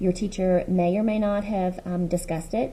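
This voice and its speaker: Somewhat breathy, a woman's medium-pitched voice carries a dark, mellow tone. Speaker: middle school math teacher. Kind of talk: recorded lesson. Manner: fast.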